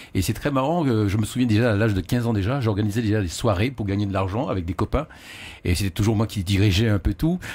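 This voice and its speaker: Somewhat breathy and fairly low, a man talks at a very fast pace with ordinary pitch variation. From French Antilles. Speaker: caterer. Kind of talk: casual chat. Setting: radio studio. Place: studio. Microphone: studio mic.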